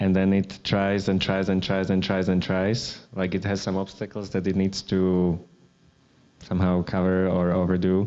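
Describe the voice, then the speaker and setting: A man with a Slovak accent and a very deep, low pitch speaks at a moderate pace, his intonation monotone and flat and his loudness very even. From Slovakia. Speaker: artist. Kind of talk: public artist talk. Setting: gallery event with audience. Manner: hesitant, many fillers and restarts.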